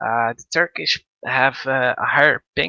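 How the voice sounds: Bright and sharp in tone, a man speaks at medium pitch with fairly even intonation. The sound is dry and close, with no echo.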